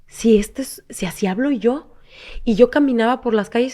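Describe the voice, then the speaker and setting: A woman with a high pitch talks at a fairly slow pace with ordinary pitch variation over a quiet background. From Mexico, Cancún. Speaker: actress. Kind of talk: interview. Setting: studio.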